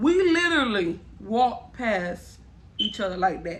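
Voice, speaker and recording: A woman with a fairly high pitch swings very widely in pitch while noticeable noise runs in the background. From Miami, Florida. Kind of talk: casual storytime talk to camera.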